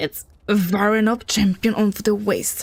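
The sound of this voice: A put-on character voice, fairly high-pitched, in a monotone, flat intonation at a moderate pace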